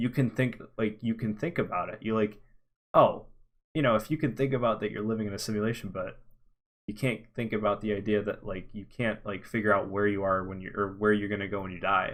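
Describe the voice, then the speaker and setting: This man has a fairly low pitch and an ordinary speaking voice. His intonation is fairly even, and he talks at a fairly quick pace. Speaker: podcast co-host. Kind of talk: casual chat.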